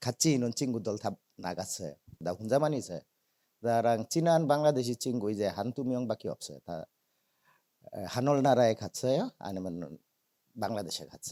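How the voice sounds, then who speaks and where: With a Bangladeshi accent, a man talks at a moderate pace and medium pitch, his dark, mellow tone and lively intonation broken by long, frequent pauses in a dry, close sound with no echo. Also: very clean recording, silent background. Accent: non-native Korean, Bangladeshi. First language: Bengali (speaking Korean). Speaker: migrant theater representative, guest speaker. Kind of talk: testimony.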